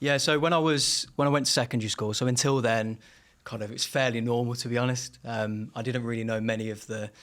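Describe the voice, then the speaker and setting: In a Brummie accent, a man with medium pitch talks at a very fast pace with fairly even intonation. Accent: Birmingham (Brummie), toned down. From Birmingham, England (Erdington). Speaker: singer and rapper. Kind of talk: interview testimony. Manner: halting, many fillers.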